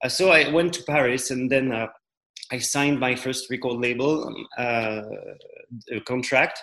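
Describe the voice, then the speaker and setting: A man's bright, sharp voice at medium pitch, fairly slow and fairly even in intonation, with long, frequent pauses and audible room echo. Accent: French. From central France. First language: French. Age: 30s. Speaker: musician. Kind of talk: interview.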